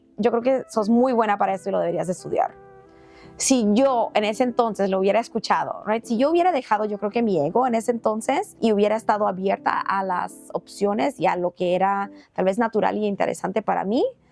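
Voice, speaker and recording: With music in the background, a woman speaks at a fairly quick pace in a fairly high voice with ordinary pitch variation. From Panama. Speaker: nonprofit executive director. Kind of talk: podcast interview answer. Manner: code-switching between Spanish and English.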